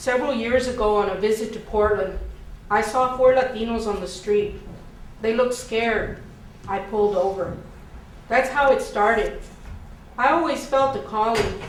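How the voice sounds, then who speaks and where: With an American accent, a woman speaks at a moderate pace in a fairly high pitch, leaving long, frequent pauses, with audible room echo and noticeable background noise. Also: ordinary pitch variation. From Houston, Texas. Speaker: minister. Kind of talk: scripted monologue in stage performance.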